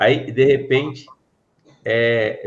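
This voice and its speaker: This man's voice, somewhat breathy, sits at a medium pitch. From Brazil, São Paulo interior (Pirassununga). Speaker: podcast host, former police officer. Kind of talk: interview.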